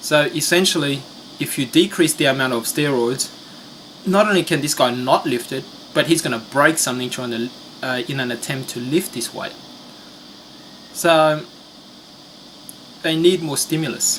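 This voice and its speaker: A man's fairly high voice with a non-native accent, ordinary pitch variation and a moderate pace broken by long, frequent pauses, over noticeable background noise. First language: not English. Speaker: finance commentator. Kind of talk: video commentary. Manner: hesitant, many fillers.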